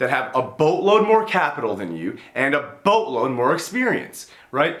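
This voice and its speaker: With a fairly high pitch, very wide pitch swings and some vocal fry, a man speaks at a moderate pace amid audible room echo. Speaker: business YouTuber and entrepreneur. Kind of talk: casual monologue video on business advice. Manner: conversational, uses fillers like you know and right.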